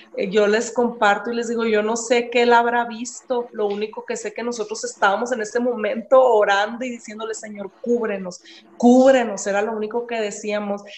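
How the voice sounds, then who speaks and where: A fairly high-pitched woman at a moderate pace, monotone and flat, with hardly any pauses, over noticeable background noise. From Mexico, Ciudad Juárez. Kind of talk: interview. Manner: halting.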